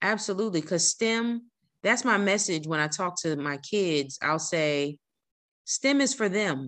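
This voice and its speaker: At a fairly slow pace, a woman with a normal speaking voice talks with an American accent, a medium pitch, and lively intonation. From New Jersey. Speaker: civil engineer and author. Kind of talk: casual interview.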